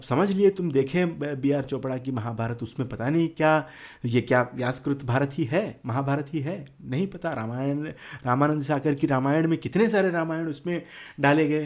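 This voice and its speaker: Telangana accent with ordinary pitch variation. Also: man, fairly high pitch for a man. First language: Telugu (speaking Hindi). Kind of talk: casual talk to camera. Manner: halting, many fillers.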